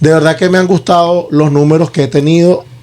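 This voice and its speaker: There is noticeable background noise behind a man whose pitch is fairly high. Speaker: podcast host. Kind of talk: casual podcast chat.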